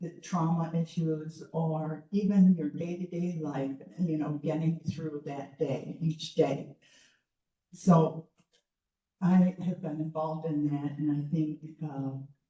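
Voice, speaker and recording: A very deep, low female voice, dark and mellow, somewhat breathy, monotone and flat, at a very slow pace. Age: 70s. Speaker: retired educator. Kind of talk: public talk. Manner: halting.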